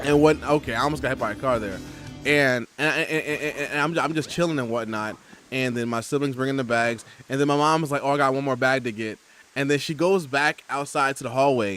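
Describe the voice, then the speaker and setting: With music in the background, a man talks fairly quickly at a fairly high pitch with ordinary pitch variation. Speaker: gaming streamer. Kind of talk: casual chat. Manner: halting.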